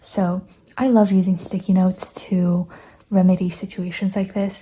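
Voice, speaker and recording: A woman speaks at medium pitch with a dark, mellow tone and a somewhat breathy quality. The recording is very clean, with a silent background. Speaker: planner and journal creator. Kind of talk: casual talk to camera. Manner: hesitant, with pauses and stutters.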